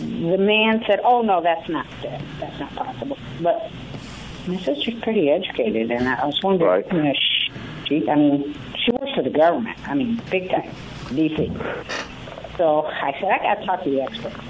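Amid noticeable background noise, a woman speaks in a fairly low pitch with very wide pitch swings. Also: moderate pace. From Tennessee. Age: 60s. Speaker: caller. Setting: phone call.

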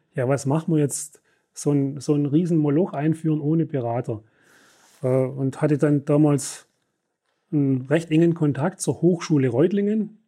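On a very clean recording with a silent background, a man with a dark, mellow tone speaks at a moderate pace with ordinary pitch variation and long, frequent pauses. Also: fairly high pitch for a man. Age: 60s. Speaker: company executive. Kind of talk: interview. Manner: halting.

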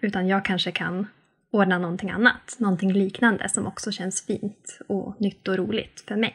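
A woman's somewhat breathy, medium-pitched voice, flat and monotone at a moderate pace, over a quiet background. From northern Sweden (Norrbotten, Arvidsjaur). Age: 30s. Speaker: sustainable-living influencer, mother of three. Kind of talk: interview conversation.

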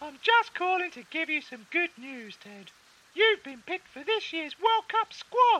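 Someone uses a put-on character voice that is squeaky and extremely high in pitch, delivered at a moderate pace. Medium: comedy sketch.

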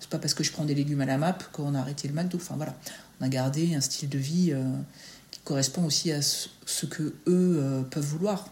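A woman with a very deep, low pitch sounds somewhat breathy, speaking at a moderate pace with fairly even intonation. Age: 40s. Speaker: school staff member and mother. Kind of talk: interview, casual chat. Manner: hesitant, many fillers.

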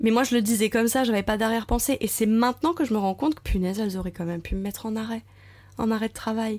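A woman rattles along at a very fast pace, her voice fairly high in pitch. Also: very clean recording, silent background. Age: 30s. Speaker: primary school teacher sharing motherhood testimony. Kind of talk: testimony. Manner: hesitant, many fillers.

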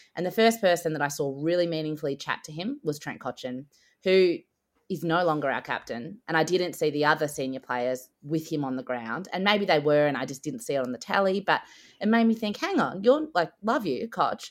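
Speaking with an Australian accent, a woman uses a fairly low pitch and lively intonation at a fairly quick pace on a very clean recording with a silent background. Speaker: podcast co-host. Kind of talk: casual chat.

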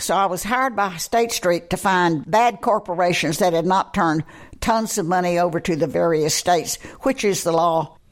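A woman with a Texan accent speaks in a fairly low voice. The recording is very clean, with a silent background. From Texas, Amarillo. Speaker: college alumna. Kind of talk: interview.

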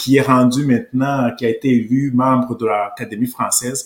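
The speaker is a man with a medium-pitched voice. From Rwanda. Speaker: political commentator. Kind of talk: interview.

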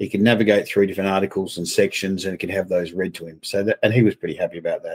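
A man with an Australian accent at a very fast pace, with big swings in loudness and a dry, close sound with no echo. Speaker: company president guest. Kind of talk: interview.

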